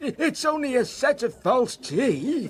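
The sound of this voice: This is a put-on character voice with a slightly husky edge. It moves slowly, with big pitch swings.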